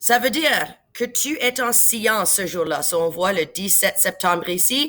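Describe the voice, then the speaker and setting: With an English accent, a woman speaks at a fairly slow pace in a bright, sharp tone, her pitch swinging very widely. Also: fairly high pitch for a woman. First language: English (speaking French). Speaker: science teacher. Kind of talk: tutorial. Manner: casual, many fillers and English words.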